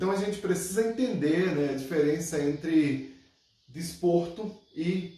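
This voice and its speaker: Audible room echo surrounds a man speaking at a moderate pace, his high pitch moving with ordinary variation. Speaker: capoeira commentator. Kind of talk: video monologue.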